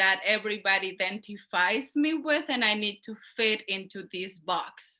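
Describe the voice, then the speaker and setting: A woman with a strong Mexican accent, bright and sharp in tone, at a fairly slow pace with ordinary pitch variation. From Mexico, León, Guanajuato. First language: Spanish. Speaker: poultry worker organizer. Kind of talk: panel discussion.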